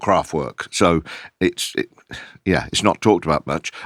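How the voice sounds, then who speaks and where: A man with an English Midlands accent speaks at a moderate pace in a very deep, low pitch with vocal fry and ordinary pitch variation, heard in a dry, close sound with no echo on a very clean recording with a silent background. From Kettering, Northamptonshire, England. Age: 60s. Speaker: DJ and record label founder. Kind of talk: podcast interview.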